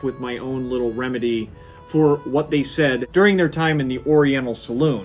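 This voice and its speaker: Music plays behind a man with an American accent and a medium pitch. He talks at a fairly quick pace with ordinary pitch variation. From US Midwest. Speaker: YouTube history presenter. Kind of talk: casual educational talk to camera. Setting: studio.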